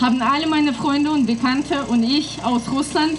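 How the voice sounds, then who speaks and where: Against noticeable background noise, a woman with a high pitch and ordinary pitch variation speaks at a moderate pace. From Russia, northwest. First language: Russian (speaking German). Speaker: activist. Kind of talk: prepared speech.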